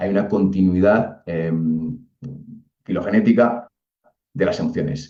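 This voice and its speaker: A man with a Castilian accent speaks at a fairly low pitch in a dark, mellow tone. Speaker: psychologist speaker. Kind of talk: lecture. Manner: fast.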